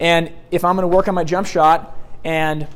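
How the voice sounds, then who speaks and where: Amid noticeable background noise and audible room echo, a man speaks loudly in a high, monotone voice with flat intonation. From US Pacific Northwest, Portland Oregon. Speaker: sales trainer. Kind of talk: seminar lecture. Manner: loud and fast.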